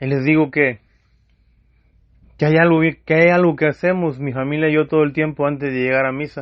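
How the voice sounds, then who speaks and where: A flat monotone at a fairly quick pace, broken by long, frequent pauses. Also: man, fairly high pitch for a man. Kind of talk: testimony. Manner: loud; impassioned.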